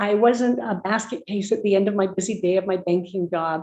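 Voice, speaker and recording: A woman with a Canadian accent speaks at a moderate pace, her medium-pitched voice dark and mellow, with ordinary pitch variation. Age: 70s. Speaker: network marketing distributor. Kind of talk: testimony. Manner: enthusiastic.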